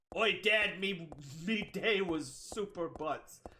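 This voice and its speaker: A man's high-pitched, put-on character voice at a very slow pace. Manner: pirate voice, mocking.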